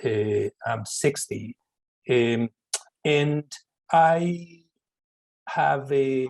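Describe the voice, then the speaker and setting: In a dry, close sound with no echo, a man with a fairly high pitch speaks very slowly, leaving long, frequent pauses, with ordinary pitch variation. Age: 60s. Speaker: professor. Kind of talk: lecture Q&A. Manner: halting.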